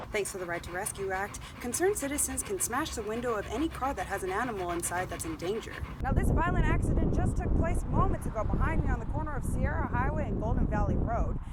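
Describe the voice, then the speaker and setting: A woman talking very fast with hardly any pauses, over noticeable background noise. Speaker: TV news reporter. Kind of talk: TV news report.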